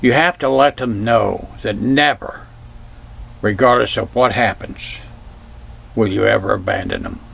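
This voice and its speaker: This man talks fairly slowly, leaving long, frequent pauses, while noticeable noise sounds in the background. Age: 70s. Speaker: vlogger sharing life advice. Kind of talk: personal talk to camera.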